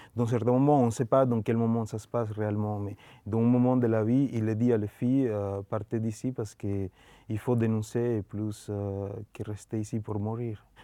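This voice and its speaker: Against a quiet background, a man with a Spanish accent speaks at a moderate pace and medium pitch, his tone dark and mellow and his intonation monotone and flat. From Colombia. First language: Spanish (speaking French). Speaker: film director. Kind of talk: interview. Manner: halting.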